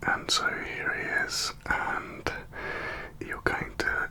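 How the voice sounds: The voice belongs to a man. Everything comes out in a whisper.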